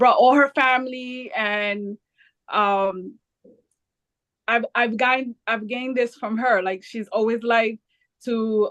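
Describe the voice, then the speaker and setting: A woman talks with a Spanish accent. Her voice is fairly high, and her intonation is fairly even. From US Northeast, Jersey City, New Jersey. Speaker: nonprofit founder. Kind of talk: interview.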